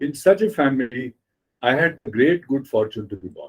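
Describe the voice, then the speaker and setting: Somewhat breathy, a man talks with a Marathi accent. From India, Mumbai. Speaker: writer and editor. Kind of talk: interview.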